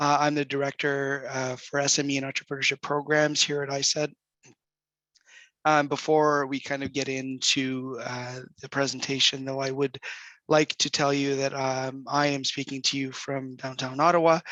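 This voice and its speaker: Against a quiet background, a man with a fairly high pitch and a bright, sharp tone speaks at a moderate pace in a monotone, flat intonation. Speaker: government program director. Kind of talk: presentation. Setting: online video session. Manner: halting.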